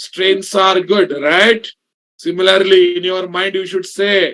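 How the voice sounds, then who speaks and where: Speaking at a very slow pace, a man with a South Indian accent has a high pitch and a monotone, flat intonation. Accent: South Indian accent in Hindi. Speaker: programming instructor. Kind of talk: online class lecture. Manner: casual, conversational with code-switching.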